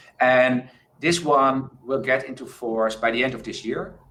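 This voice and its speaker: In a room with audible echo, a man speaks at a medium pitch in a bright, sharp tone. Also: big swings in loudness. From Netherlands. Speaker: crowdfunding expert, panelist. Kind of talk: conference panel discussion.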